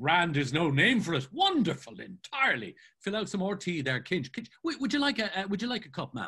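Putting on a character voice, a man talks at a fairly quick pace, pitched high, with a bright, sharp tone, very wide pitch swings and a slightly husky edge.

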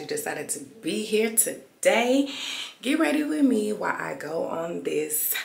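Audible room echo hangs around the voice. A woman talks at a fairly slow pace. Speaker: vlogger. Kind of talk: casual vlog chat. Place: home room. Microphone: phone near.

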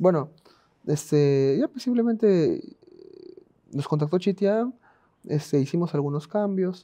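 Against a quiet background, a man speaks at a high pitch in a dark, mellow tone. His pace is fairly slow, with long, frequent pauses. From Peru, Lima; Peru. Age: 20s. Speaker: professional esports player; podcast guest. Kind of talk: interview. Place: studio.

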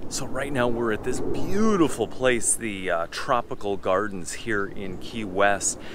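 Noticeable background noise sits behind a dry sound with no echo. A man talks at a fairly slow pace. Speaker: travel vlogger. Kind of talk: casual vlog chat. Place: garden. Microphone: phone near.

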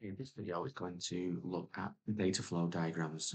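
A soft-spoken man talks at a moderate pace with ordinary pitch variation. His very deep, low voice sits over a quiet background. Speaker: teacher. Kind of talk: exam tutorial narration. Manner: quiet, soft-spoken. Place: home room.

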